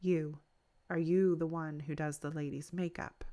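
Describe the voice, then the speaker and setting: Soft-spoken and strained, this put-on character voice sits at a middle pitch and moves at a moderate pace with monotone, flat intonation. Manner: soft, restrained.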